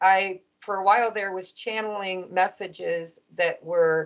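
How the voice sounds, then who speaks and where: A woman has an unremarkable speaking voice. Her pitch sits in the medium range. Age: 50s. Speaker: podcast host and tarot reader. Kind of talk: casual interview chat.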